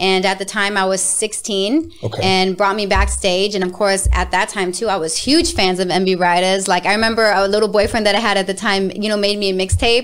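A woman speaks at a fairly quick pace with hardly any pauses, her pitch medium and her intonation fairly even. Noticeable background noise runs behind her. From Las Vegas, Nevada. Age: 30s. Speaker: singer. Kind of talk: casual interview.

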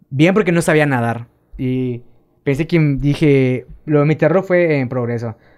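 A man speaks at a fairly slow pace in a normal speaking voice with ordinary pitch variation. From Quintana Roo, Mexico (Tulum). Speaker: amateur cyclist. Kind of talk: casual chat. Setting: studio.

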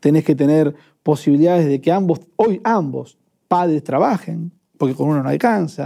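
This man's voice has a dark, mellow tone. It sits fairly high in pitch. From Argentina, Avellaneda (Buenos Aires). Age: 30s. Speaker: trade unionist. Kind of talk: casual chat.

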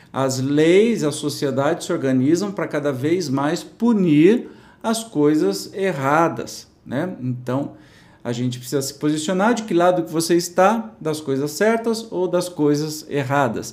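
A man with a fairly high voice speaks fairly slowly with lively intonation, and audible room echo can be heard. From interior of São Paulo state, Brazil. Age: 50s. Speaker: spiritist study presenter. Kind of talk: religious study commentary, casual. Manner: informal, conversational.

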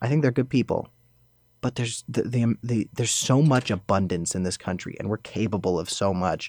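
A man with an American accent speaks fairly quickly in a normal speaking voice, at a medium pitch with ordinary pitch variation. The sound is dry and close with no echo, on a very clean recording with a silent background. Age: young. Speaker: activist. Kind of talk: casual chat.

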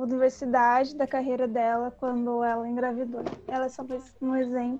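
Noticeable background noise sits under a woman's high-pitched voice. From São Paulo, Brazil (east periphery, São Mateus). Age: 20s. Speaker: podcast host, university student. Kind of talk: interview.

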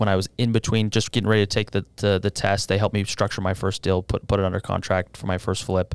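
An ordinary speaking voice from a man with an American accent, fairly low in pitch, fairly quick and fairly even in intonation, dry and close with no echo on a very clean recording with a silent background. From Utah, West Valley. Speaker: real estate sales director. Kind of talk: casual interview.

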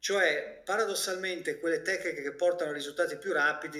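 Moving at a fairly quick pace, a man talks in a bright, sharp tone. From Italy. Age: 50s. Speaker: physician and health coach. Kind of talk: interview.

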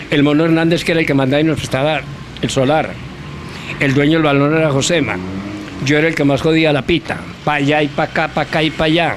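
The speech runs at a very fast pace, broken by long, frequent pauses, at very even loudness. Noticeable background noise sits behind it. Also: man, fairly high pitch for a man. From Colombia, Antioquia (Rionegro). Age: 90s. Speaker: former footballer and sports journalist. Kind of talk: interview. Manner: animated.

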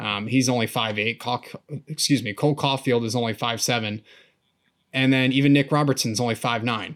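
Moving at a fairly quick pace, a man with an American accent speaks at medium pitch. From United States. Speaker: hockey podcast co-host. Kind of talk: casual chat. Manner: animated.

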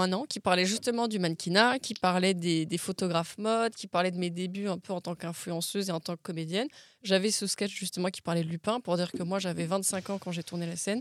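In a very clean recording with a silent background and a dry, close sound with no echo, a woman with an unremarkable speaking voice talks at a fairly quick pace, her medium pitch showing ordinary variation. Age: 20s. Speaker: actress and model. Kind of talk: casual chat.

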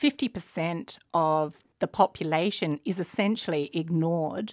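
Speaking in an Australian accent, a woman uses ordinary pitch variation. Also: dry, close sound with no echo, very clean recording, silent background. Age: 40s. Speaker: entrepreneur, finance company founder. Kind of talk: interview.

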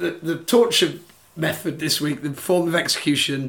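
A somewhat breathy male voice. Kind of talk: casual chat.

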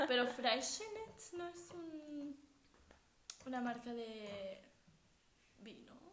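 The speaker goes at a very slow pace with long, frequent pauses and very wide pitch swings. Audible room echo and noticeable background noise are present. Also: woman, high pitch for a woman. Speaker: podcast co-host. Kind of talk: casual chat. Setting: at home.

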